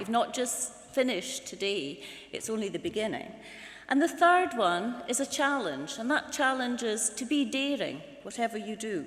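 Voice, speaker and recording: At a moderate pace, a woman with a Scottish accent speaks at a fairly high pitch with very wide pitch swings. There is audible room echo. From northern Scotland. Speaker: university governing board chair. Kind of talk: ceremonial speech. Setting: hall with audience. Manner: formal.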